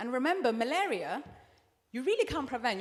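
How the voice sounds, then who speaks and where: An animated, passionate woman with a British accent, fairly high pitch and very wide pitch swings, over noticeable background noise. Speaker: therapist and anti-FGM activist. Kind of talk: panel discussion. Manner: repeats and restarts words.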